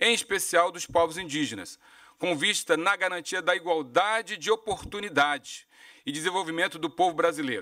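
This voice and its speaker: In a quiet background, a man with a bright, sharp tone and a high pitch talks at a fairly quick pace with ordinary pitch variation. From Brazil. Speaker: government official. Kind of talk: prepared statement. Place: meeting room. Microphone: podium.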